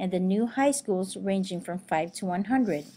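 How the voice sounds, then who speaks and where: A woman with a Filipino accent speaks at a moderate pace, her dark, mellow tone somewhat breathy, with ordinary pitch variation on a very clean recording with a silent background. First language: Tagalog. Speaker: teacher and student. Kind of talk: class presentation. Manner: formal.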